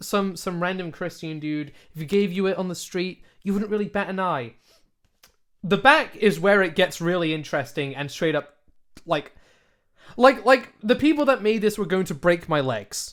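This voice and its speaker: This man speaks with lively intonation and an animated tone, his pitch high for a man. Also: moderate pace. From UK. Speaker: podcast co-host. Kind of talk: casual chat; reading aloud.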